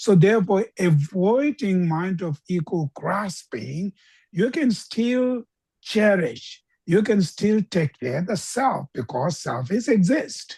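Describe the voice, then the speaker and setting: Very slowly, a woman speaks in a dark, mellow, somewhat breathy tone with very wide pitch swings, the sound dry and close with no echo. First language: not English. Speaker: Buddhist teacher. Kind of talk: dharma teaching Q&A. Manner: halting.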